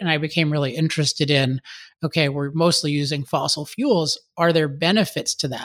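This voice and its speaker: A man with a General American accent has an unremarkable speaking voice, fairly high in pitch and fairly quick. The sound is dry and close with no echo, on a very clean recording with a silent background. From US, Maryland. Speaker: author and energy advocate. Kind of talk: interview.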